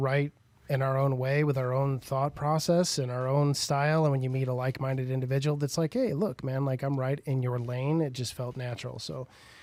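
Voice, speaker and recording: In a very clean recording with a silent background, a man talks fairly quickly at a fairly high pitch with fairly even intonation. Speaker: rock singer and songwriter. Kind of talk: casual podcast chat.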